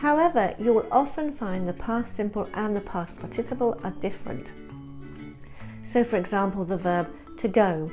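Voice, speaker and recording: Music plays in the background as a woman with a British accent talks at a moderate pace and medium pitch, her voice making very wide pitch swings. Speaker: English teacher. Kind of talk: grammar tutorial to camera.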